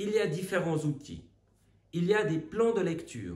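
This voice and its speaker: With lively intonation and vocal fry, a man talks at a fairly slow pace amid audible room echo. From Switzerland. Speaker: Bible teacher. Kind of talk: recorded Bible teaching. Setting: recorded video, away on retreat.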